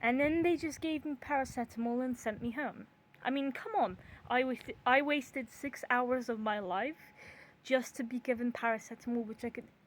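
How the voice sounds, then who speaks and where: Her pitch is high, with ordinary variation. The woman keeps a moderate pace. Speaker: YouTuber. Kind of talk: casual vlog monologue. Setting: outdoors in back garden.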